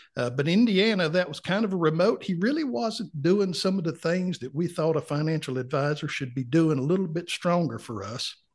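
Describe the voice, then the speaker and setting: With a North Carolina accent, a man talks at a fairly quick pace in a high pitch, his intonation lively, against a quiet background. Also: hardly any pauses. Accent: Southern US, North Carolina. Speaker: retired client. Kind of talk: casual interview chat.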